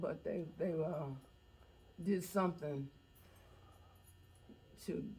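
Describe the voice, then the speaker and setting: Somewhat breathy and dark, mellow in tone, a woman talks at a fairly slow pace with ordinary pitch variation. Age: 80s+. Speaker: eyewitness to local history. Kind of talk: interview answer.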